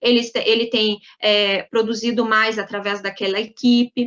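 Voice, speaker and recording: At a moderate pace, a woman talks in an ordinary speaking voice with a fairly high pitch. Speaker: labor lawyer. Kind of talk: webinar lecture.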